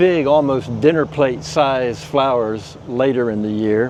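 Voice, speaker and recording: A man with a medium pitch and lively intonation speaks at a very slow pace over noticeable background noise. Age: 70s. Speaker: plant breeder. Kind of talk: casual garden tour interview. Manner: halting, many fillers.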